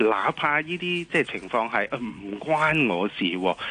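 Speaking at a moderate pace, a man has a bright, sharp tone and lively intonation.

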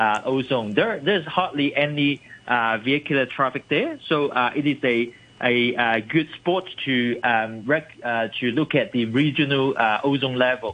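This man has an ordinary speaking voice, medium in pitch, with ordinary pitch variation and very even loudness. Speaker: environmental campaigner. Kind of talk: radio interview. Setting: phone call.

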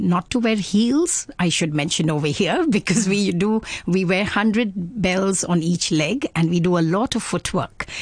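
Speaking with an Indian accent, a woman has a somewhat breathy, medium-pitched voice. She goes at a fairly slow pace with ordinary pitch variation and very even loudness. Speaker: Kathak dancer and dance academy founder. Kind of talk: casual interview. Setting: studio.

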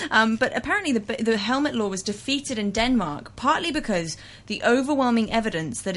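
A woman with a plain, everyday voice speaks at a fairly high pitch with lively intonation. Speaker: audio columnist. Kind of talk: casual chat.

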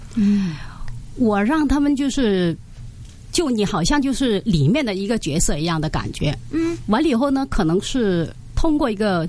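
A woman with a fairly high pitch talks at a moderate pace, her voice making very wide pitch swings. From Hong Kong. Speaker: Mandarin teacher, recitation coach. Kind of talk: radio interview.

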